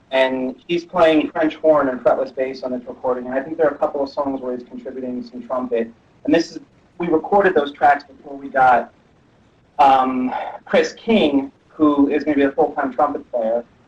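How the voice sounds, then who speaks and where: Over noticeable background noise, a man talks at a fairly quick pace with a fairly high pitch, ordinary pitch variation and big swings in loudness. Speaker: metal musician. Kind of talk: interview. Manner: animated. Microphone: sensitive laptop microphone.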